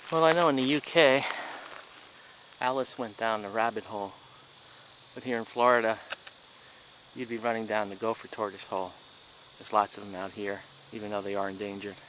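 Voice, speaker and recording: A man speaks at a fairly quick pace with long, frequent pauses, a medium pitch and ordinary pitch variation, over noticeable background noise. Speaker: hiking and camping vlogger. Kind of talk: outdoor vlog narration. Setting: outdoors at campsite. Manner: loud; hesitant, many fillers. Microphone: poor microphone, hard to hear.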